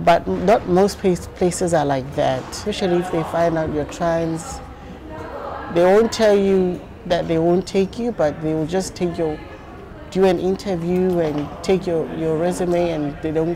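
A woman at a fairly slow pace, fairly low in pitch, with fairly even intonation over noticeable background noise. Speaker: interviewee. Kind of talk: interview answer. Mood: earnest, reflective. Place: hall. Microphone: lapel.

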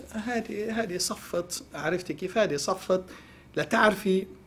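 A man is speaking. He has a Lebanese accent. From Lebanon. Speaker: economist, professor; guest. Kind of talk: TV news interview. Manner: hesitant fillers. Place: studio. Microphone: lapel.

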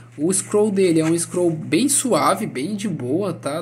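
A man talks at a fairly slow pace. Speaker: gaming YouTuber reviewing products. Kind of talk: product review video. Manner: casual, halting with fillers.

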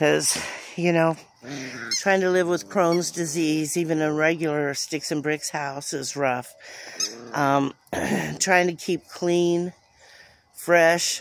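The recording has a dry sound with no echo and light background noise, as a woman with a very deep, low voice speaks at a very slow pace with long, frequent pauses. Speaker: vlogger. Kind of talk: casual vlog chat. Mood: reflective, a bit weary. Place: garden. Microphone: phone near.

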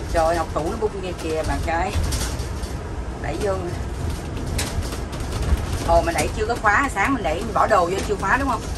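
Loud background noise fills the long, frequent pauses in this speech. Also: moderate pace. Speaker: vlogger filming the trip. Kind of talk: casual vlog chat. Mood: cheerful, joking, laughing. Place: car. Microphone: phone near.

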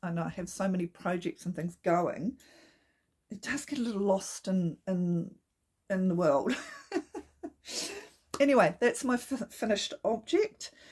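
A woman with a medium pitch speaks in a somewhat breathy voice with lively intonation. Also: quiet background. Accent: New Zealand. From New Zealand. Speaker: knitting podcaster. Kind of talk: casual talk to camera. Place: home room. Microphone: phone near.

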